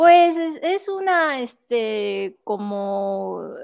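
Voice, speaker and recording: She speaks with very wide swings in pitch, the background quiet. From Japan, Shiga prefecture; Japan. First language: Japanese (speaking Spanish). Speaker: art professor and researcher; interviewee. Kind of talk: interview. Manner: halting, many fillers. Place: home room. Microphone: earbuds.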